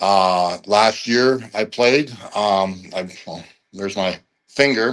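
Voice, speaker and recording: This man has an unremarkable speaking voice with a Canadian accent. His pitch sits fairly low, and his intonation stays fairly even. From Canada, Toronto area. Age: 60s. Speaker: former pro football player. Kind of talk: interview storytelling.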